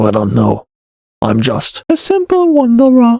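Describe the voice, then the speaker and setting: In a put-on character voice with an extremely high pitch, a man speaks at a moderate pace, the sound dry and close with no echo. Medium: read story. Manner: terse, guarded.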